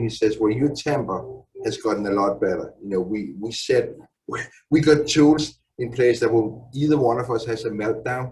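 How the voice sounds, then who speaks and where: A man speaks at a medium pitch and a moderate pace. His voice is somewhat breathy, with ordinary pitch variation. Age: 60s. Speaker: father in a support group. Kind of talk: testimony.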